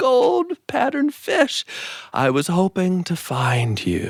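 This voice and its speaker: A put-on character voice at a middle pitch and a fairly slow pace, on a very clean recording with a silent background. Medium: read story.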